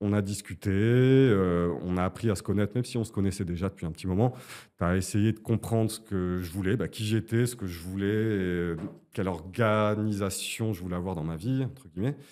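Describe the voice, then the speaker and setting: Recorded very cleanly over a silent background, a man speaks at a moderate pace in a dark, mellow tone, fairly low in pitch with ordinary variation. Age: 40s. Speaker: client giving a testimonial, composer. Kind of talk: interview testimony. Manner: hesitant, many fillers.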